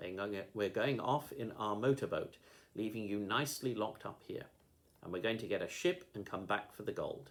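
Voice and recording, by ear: The speaker is reading aloud in a natural voice. Pitch variation is ordinary.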